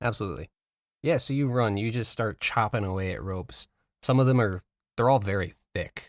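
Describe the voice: Against a quiet background, someone does plain reading aloud with ordinary pitch variation.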